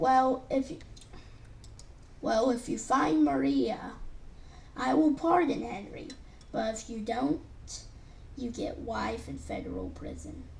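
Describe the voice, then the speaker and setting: Using a put-on character voice, a woman speaks at a fairly slow pace with long, frequent pauses and big swings in loudness, over clear background noise. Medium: read story. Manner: blunt, dismissive.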